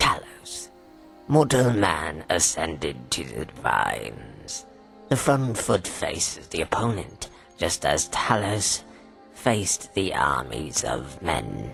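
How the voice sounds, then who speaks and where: A man puts on a character voice with a very deep, low pitch and very wide pitch swings. He speaks at a fairly slow pace with clear music in the background. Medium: video game. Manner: cold, scornful, measured.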